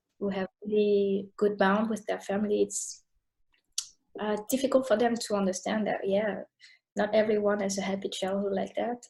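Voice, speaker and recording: A woman's somewhat breathy, dark and mellow voice at a medium pitch, monotone and flat, with long, frequent pauses. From Paris, France. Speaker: yoga teacher. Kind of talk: interview answer.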